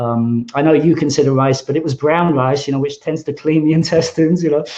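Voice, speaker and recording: A man with a dark, mellow tone and a fairly high pitch talks at a fairly quick pace. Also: fairly even intonation. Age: 60s. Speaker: webinar host. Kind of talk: casual chat. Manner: halting.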